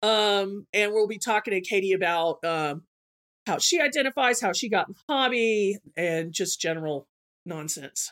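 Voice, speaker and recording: A woman with an American accent speaks at a moderate pace, her pitch medium and her intonation lively. The recording is very clean, with a silent background. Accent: slight Southern US, hidden. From Georgia. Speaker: podcast host. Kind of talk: casual chat.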